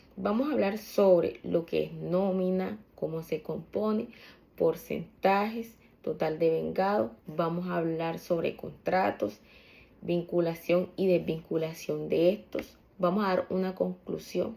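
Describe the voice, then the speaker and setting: Her pitch fairly low, a woman speaks very slowly with lively intonation. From Colombia, Córdoba (San Pelayo). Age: 20s. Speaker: student presenting coursework, accountant. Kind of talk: class presentation. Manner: formal.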